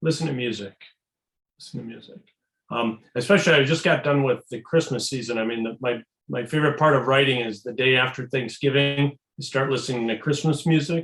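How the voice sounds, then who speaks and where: Speaking at a fairly quick pace, a man has a plain, everyday voice. His pitch is medium, with ordinary pitch variation. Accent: American. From US Midwest, Chicago. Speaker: novelist. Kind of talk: casual panel conversation.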